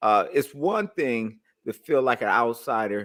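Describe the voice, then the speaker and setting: A man's ordinary speaking voice with an American accent, medium pitch and ordinary pitch variation, on a very clean recording with a silent background. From US, East Oakland. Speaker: radio host. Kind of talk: interview. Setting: radio interview.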